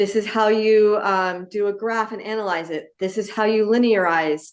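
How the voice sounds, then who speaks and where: At a rather high pitch with normal pitch movement, a woman talks in an ordinary speaking voice. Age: 60s. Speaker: physics teacher. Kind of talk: panel discussion.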